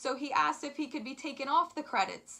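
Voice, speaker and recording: Against a quiet background, a woman with a high pitch uses a raised, projected voice, an upbeat tone, and lively intonation. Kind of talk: casual talk to camera. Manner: lisp.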